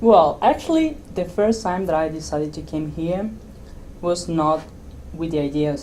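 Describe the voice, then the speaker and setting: In an Argentine accent, a woman speaks with a very deep, low pitch and ordinary pitch variation. Audible room echo surrounds her voice. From Argentina. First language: Spanish. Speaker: software developer. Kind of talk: interview. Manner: halting.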